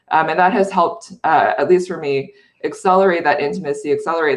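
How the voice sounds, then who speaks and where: Fairly low pitch from a woman, at a fairly quick pace. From China, then US from childhood. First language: Chinese. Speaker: panelist, tech company leader. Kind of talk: panel discussion. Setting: video call from home bedroom. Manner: many fillers (um, uh).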